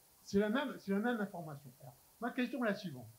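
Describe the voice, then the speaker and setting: Very wide pitch swings run through the speech of a man with a high pitch. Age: 60s. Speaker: audience member asking a question. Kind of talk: audience question. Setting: conference round table with audience. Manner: insistent, interrupting.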